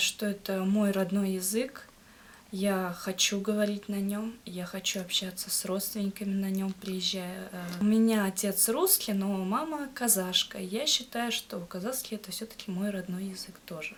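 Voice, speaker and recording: A woman at a moderate pace, medium pitch and ordinary pitch variation. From Kazakhstan, Akmola region. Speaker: language learner, student. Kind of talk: interview. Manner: halting, many hesitations.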